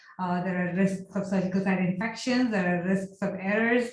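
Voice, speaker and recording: The delivery is monotone and flat, with noticeable background noise behind it. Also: woman. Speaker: architecture and healthcare design researcher. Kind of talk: lecture. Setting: video call. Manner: fast.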